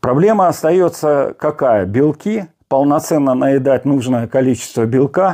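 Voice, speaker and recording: Against a quiet background, a man with a dark, mellow tone speaks fairly slowly with lively intonation. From Siberia, Russia. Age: 60s. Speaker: fitness blogger. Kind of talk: casual vlog talk. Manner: halting, with fillers. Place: home room. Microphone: lapel.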